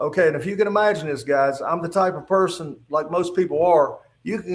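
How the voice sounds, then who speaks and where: A man speaks in a high voice at a fairly quick pace, with lively intonation. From West Virginia. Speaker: retired state trooper. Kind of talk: testimony. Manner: halting.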